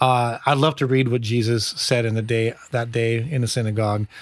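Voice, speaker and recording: This man's medium-pitched voice, in an Upper Midwestern American accent, comes through with a dry, close sound and no echo. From US upper Midwest. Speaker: pastor. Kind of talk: casual chat.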